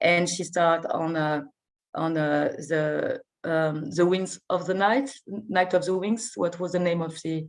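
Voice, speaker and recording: Speaking very slowly with a French accent, a woman uses a fairly low pitch and ordinary pitch variation. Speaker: film festival artistic director. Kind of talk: interview. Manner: halting, many hesitations and repetitions; enthusiastic.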